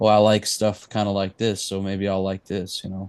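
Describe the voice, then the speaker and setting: A man speaks with a Texan accent at a fairly low pitch. The background is quiet. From East Texas. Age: 30s. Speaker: musician. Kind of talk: casual interview chat.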